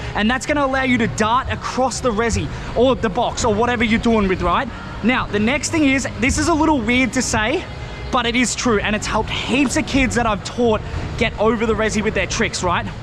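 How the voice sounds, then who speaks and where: The speaker talks at a fairly quick pace with music playing in the background. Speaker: scooter riding instructor. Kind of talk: tutorial. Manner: loud; energetic, casual.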